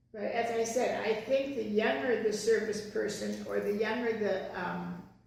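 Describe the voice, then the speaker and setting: Amid noticeable background noise and audible room echo, a woman talks very slowly. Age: 70s. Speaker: podcast co-host. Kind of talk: casual chat. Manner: halting, many fillers.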